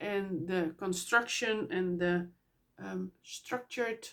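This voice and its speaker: Heard on a very clean recording with a silent background, a woman with a Dutch accent speaks with ordinary pitch variation. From Netherlands. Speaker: knitting podcaster. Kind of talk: casual podcast monologue. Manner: halting, many fillers.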